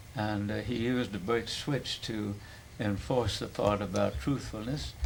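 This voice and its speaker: A man's fairly low voice at a fairly slow pace, with ordinary pitch variation and audible room echo. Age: 90s. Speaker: family elder. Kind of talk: oral history interview.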